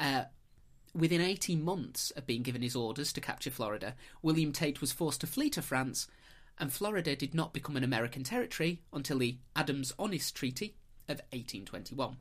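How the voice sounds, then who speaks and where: Delivered in a northern English accent, the speech has a playful tone and moves at a fairly quick pace. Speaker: podcast host. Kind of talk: casual chat, storytelling. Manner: playful, joking.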